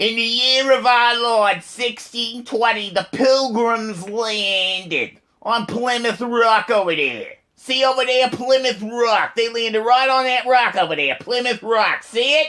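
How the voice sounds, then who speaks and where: A man puts on a character voice at an extremely high pitch. He goes at a fairly slow pace with hardly any pauses. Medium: solo performance. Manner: pompous, repetitive.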